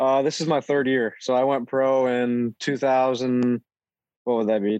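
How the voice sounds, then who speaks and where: A man with an ordinary speaking voice, medium in pitch, at a fairly slow pace and with fairly even intonation. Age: 20s. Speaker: pro ATV racer. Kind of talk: casual interview chat.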